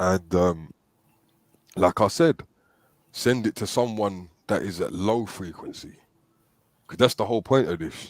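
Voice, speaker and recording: Captured in a very clean recording with a silent background, a man speaks at a fairly low pitch with ordinary pitch variation. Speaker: talk show host. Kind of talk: casual chat. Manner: hesitant, repetitive fillers.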